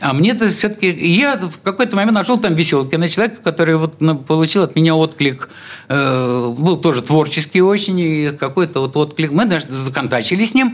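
Fairly quick, lively speech from a man with a plain, everyday voice pitched fairly high. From St Petersburg (Leningrad), Russia. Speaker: artist and musician. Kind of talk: radio interview. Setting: radio studio.

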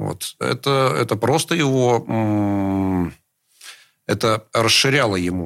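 A man with a fairly low pitch and lively intonation is heard on a very clean recording with a silent background. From Russia, St. Petersburg. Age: 50s. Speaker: rock musician. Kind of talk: radio interview.

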